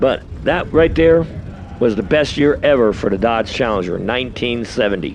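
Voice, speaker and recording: A man speaks at a medium pitch with lively intonation. Noticeable background noise is present. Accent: American. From New York. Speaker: drag race announcer. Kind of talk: live commentary.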